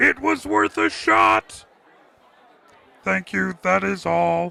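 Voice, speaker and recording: A man in a put-on character voice, fairly low in pitch, at a very slow pace. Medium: voice reel. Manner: stiff, insincere.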